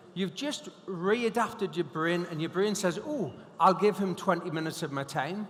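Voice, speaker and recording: With a Geordie accent and a high pitch, a man speaks at a moderate pace over noticeable background noise. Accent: Geordie (Newcastle). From northern England, Newcastle. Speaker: hypnotist and motivational speaker. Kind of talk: conference keynote talk. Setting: stage with audience. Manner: animated.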